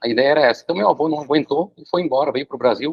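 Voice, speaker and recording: Fairly quick and fairly high-pitched, this man's voice moves with ordinary pitch variation. Nothing else stands out in the pitch. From Brazil. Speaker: professor. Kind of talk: lecture. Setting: video call.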